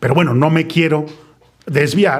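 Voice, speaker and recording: With a somewhat breathy voice, a man talks at a moderate pace. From Mexico City (Colonia Roma). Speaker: podcast host. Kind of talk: casual chat.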